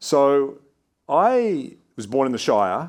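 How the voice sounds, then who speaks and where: On a very clean recording with a silent background, a man with an Australian accent speaks in a fairly high voice that swings very widely in pitch. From Australia, New South Wales. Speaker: investment firm CEO. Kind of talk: onstage interview Q&A. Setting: stage with audience. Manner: animated.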